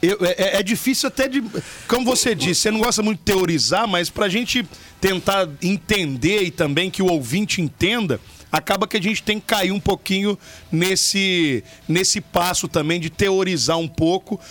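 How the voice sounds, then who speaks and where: With noticeable background noise behind him, a man speaks at a moderate pace in a high pitch. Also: ordinary pitch variation. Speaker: radio podcast host. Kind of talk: casual radio chat.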